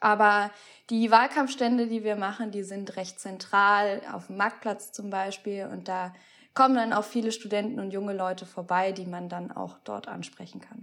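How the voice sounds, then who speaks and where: A woman speaks in a plain, everyday voice at a moderate pace, with a medium pitch and fairly even intonation. The recording is very clean, with a silent background. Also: big swings in loudness. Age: 20s. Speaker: student political group leader. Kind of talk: interview.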